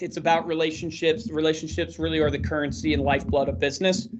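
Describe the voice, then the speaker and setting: Speaking at a very fast pace with fairly even intonation, the voice comes through over noticeable background noise. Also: man. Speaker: marketing company presenter and podcaster. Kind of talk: webinar presentation. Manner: high energy.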